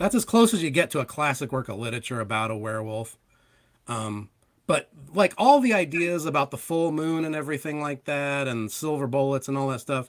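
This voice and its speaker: Talking at a fairly quick pace, a man with an unremarkable speaking voice uses lively intonation. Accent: American. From Ohio. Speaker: comic book creator. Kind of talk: casual chat.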